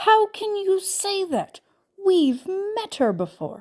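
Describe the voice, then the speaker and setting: A woman performs a put-on character voice, squeaky and extremely high in pitch. She delivers it at a very slow pace with ordinary pitch variation. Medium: read story. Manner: hearty, dramatic.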